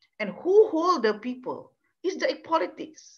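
At a moderate pace, a woman talks with a quiet background behind her. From Malaysia. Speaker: law professor. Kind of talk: lecture. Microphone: webcam.

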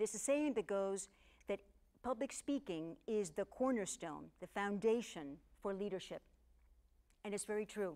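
With a Spanish accent, a woman speaks at a medium pitch and moderate pace in a dark, mellow tone, her lively intonation broken by long, frequent pauses. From Cuba. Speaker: public speaking coach. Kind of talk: scripted monologue to camera.

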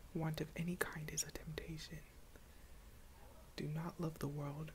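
Someone whispers at a moderate pace, with long, frequent pauses and light background noise. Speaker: ASMR creator. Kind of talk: reading aloud from a book. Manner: whispered. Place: home room. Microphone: earbuds.

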